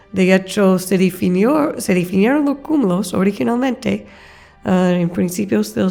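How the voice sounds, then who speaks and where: A woman's medium-pitched voice in an American accent at a fairly slow pace. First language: English (speaking Spanish). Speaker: astrophysicist, professor. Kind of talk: interview. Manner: hesitant, with fillers.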